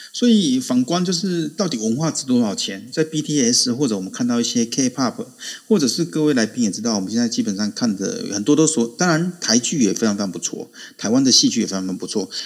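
A man at a medium pitch speaks fairly quickly with lively intonation. It is an ordinary speaking voice. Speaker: adjunct assistant professor, Korea commentator. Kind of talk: casual chat. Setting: online audio room.

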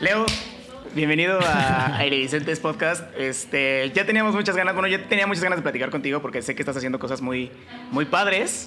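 A man's fairly high, lively voice with audible room echo and noticeable background noise. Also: moderate pace. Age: 20s. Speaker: podcast host. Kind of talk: casual chat.

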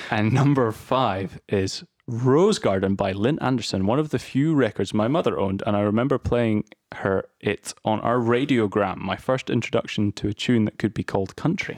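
A man with a normal speaking voice, medium pitch, moderate pace and very even loudness, in a dry, close sound with no echo. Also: ordinary pitch variation. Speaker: podcast host. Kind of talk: casual chat.

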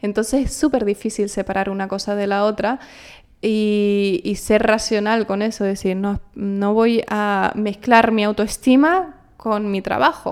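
A woman with a fairly high pitch speaks at a fairly slow pace. The recording is very clean, with a silent background. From Canary Islands, El Hierro. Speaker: actress. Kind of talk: interview.

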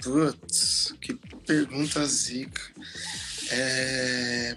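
A man is speaking. Music plays in the background. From Osasco, São Paulo, Brazil. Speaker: DJ and music producer. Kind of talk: casual interview. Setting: online live stream. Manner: animated, slangy.

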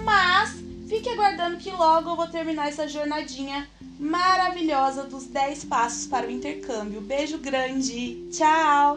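A woman speaks at a fairly slow pace in a high pitch, with ordinary pitch variation and big swings in loudness. Music plays in the background, and the room echo is audible. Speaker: podcast host, exchange-study advisor. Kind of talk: solo podcast tutorial. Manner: slow, deliberate.

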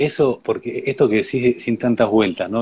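A man with a normal speaking voice talks at a moderate pace, medium in pitch, with fairly even intonation. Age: 40s. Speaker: educator on grief and death. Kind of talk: conversational interview.

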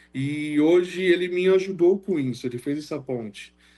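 This man's voice has a dark, mellow tone, ordinary pitch variation and a moderate pace. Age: 20s. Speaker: wheelchair bodybuilder. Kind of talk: casual chat.

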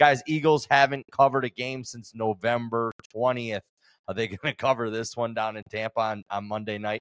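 An unremarkable speaking voice at a moderate pace, with fairly even intonation and big swings in loudness, comes through a very clean, dry, close recording with no echo and a silent background. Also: man, medium pitch for a man. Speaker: sports podcast host. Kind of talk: casual chat. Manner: casual, profane, joking.

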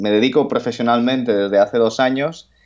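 A man with a medium pitch and fairly even intonation talks over a quiet background. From Spain, coastal region. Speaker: writer. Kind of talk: interview. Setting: phone call. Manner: halting.

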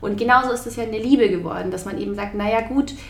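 Over noticeable background noise and audible room echo, a woman with a fairly high pitch talks at a fairly quick pace with ordinary pitch variation. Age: 20s. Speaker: journalist and author. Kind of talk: interview.

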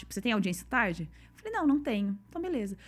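A woman's very fast, somewhat breathy voice at a fairly high pitch. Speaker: podcast host. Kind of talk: casual chat.

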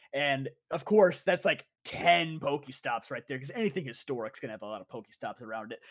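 An ordinary speaking voice from a man, fairly high in pitch, with lively intonation and a fairly quick pace, in a dry, close sound with no echo. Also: big swings in loudness. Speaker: podcast co-host. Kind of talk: casual chat.

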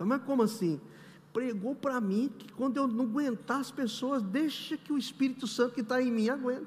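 Speaking at a fairly quick pace, this man's pitch is extremely high. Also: ordinary pitch variation. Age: 60s. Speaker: pastor. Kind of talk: sermon. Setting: church.

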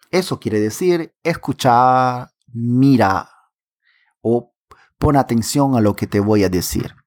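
On a very clean recording with a silent background, a man of medium pitch talks at a very slow pace with lively intonation. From Peruvian Amazon, Pucallpa. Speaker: podcast host. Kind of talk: language-learning podcast.

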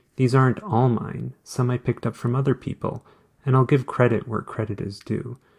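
Recorded with a dry, close sound and no echo, a man with a somewhat breathy voice speaks at a medium pitch and a fairly quick pace with fairly even intonation. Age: 40s. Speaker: blogger and podcaster. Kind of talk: reading own blog post aloud.

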